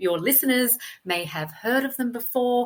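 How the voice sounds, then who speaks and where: A woman with an Australian accent, lively intonation and a moderate pace, in a very clean recording with a silent background. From Australia, Sydney. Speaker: copywriter. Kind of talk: podcast interview.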